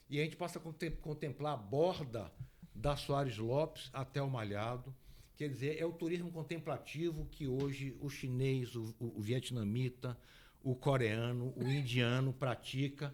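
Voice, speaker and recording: This man talks fairly slowly at a medium pitch. His pitch moves in an ordinary way. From Bahia, Brazil (Ilhéus region). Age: 60s. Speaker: guest speaking on regional infrastructure. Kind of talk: talk-show interview. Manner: animated.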